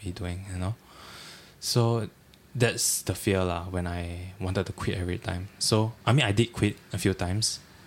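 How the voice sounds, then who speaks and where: Fairly even in intonation, a man speaks with a very deep, low pitch. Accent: Singaporean. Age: 20s. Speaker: trainee chef. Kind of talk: casual chat.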